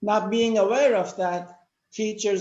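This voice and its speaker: The pace is very slow. The speaker has a Turkish accent. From Turkey. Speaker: educator with psychology background. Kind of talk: panel discussion talk.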